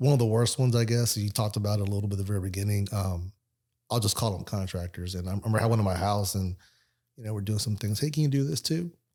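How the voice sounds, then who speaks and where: A man talks at a very fast pace with a fairly low pitch, a dark, mellow tone and ordinary pitch variation. The recording is very clean, with a silent background. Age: 50s. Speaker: independent insurance agent. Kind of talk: casual chat.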